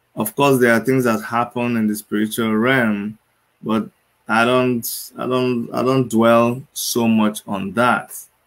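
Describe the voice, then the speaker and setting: At a very slow pace, a man talks with medium pitch and fairly even intonation. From Nigeria. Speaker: doctor and activist. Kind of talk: panel discussion. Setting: video call.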